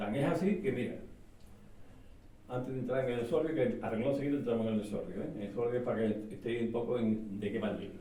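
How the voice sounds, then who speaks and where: With noticeable background noise and audible room echo, a man talks at a very fast pace, his medium pitch showing ordinary variation. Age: 60s. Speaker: author. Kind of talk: book presentation talk. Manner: animated, hesitant with repetitions.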